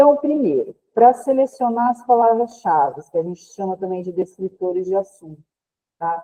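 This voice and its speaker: This is a normal speaking voice, a woman at medium pitch. She talks at a fairly slow pace with lively intonation. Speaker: librarian, trainer. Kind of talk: online training lecture.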